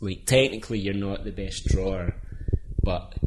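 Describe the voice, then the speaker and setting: A man's somewhat breathy, fairly low voice with a Scottish accent. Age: 30s. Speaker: illustrator. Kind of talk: casual chat.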